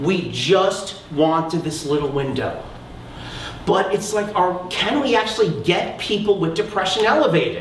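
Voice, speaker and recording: A man speaks loudly at a fairly slow pace with a high pitch and an animated tone, with audible room echo and noticeable background noise. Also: ordinary pitch variation. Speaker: research psychologist, keynote speaker. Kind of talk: conference keynote talk.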